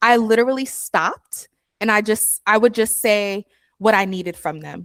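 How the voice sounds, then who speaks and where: In a New York accent, a woman talks at a moderate pace with a fairly high pitch. Her intonation stays fairly even while her loudness swings widely. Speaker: podcast co-host. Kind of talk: casual chat.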